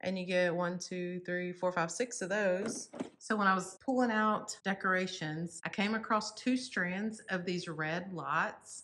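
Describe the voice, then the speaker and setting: A woman with a Texas accent and a bright, sharp tone, medium in pitch with ordinary variation, at a fairly slow pace with hardly any pauses. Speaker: home decor YouTuber. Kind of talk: casual decorate-with-me vlog narration. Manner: casual, chatty with fillers.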